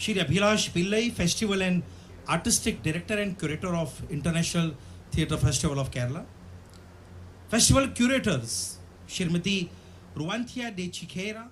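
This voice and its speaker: A man with a non-native accent speaks at a fairly quick pace and a high pitch, his intonation lively. Long, frequent pauses break up his speech, and there is audible room echo. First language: Bhantu. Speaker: theatre director, guest of honor lecturer. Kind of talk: formal address / lecture.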